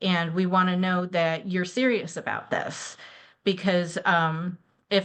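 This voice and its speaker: A woman with an ordinary speaking voice talks at a fairly low pitch and a fairly slow pace. Her intonation is fairly even, and the background is quiet. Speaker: banker. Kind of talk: webinar presentation.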